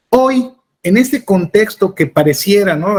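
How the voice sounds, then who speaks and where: With ordinary pitch variation, the man delivers his words at a moderate pace. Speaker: interviewer. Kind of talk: interview.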